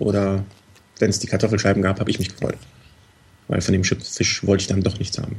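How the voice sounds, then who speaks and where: Somewhat breathy and fairly low-pitched, a man talks at a very fast pace. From Cologne, Germany. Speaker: listener guest, hobby cyclist. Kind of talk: casual chat.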